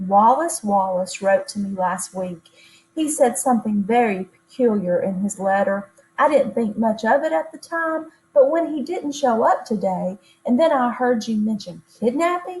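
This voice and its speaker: A woman's put-on character voice, soft-spoken and shaky, fairly high in pitch with very wide pitch swings, at a moderate pace. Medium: read story. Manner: soft, trembly, shy.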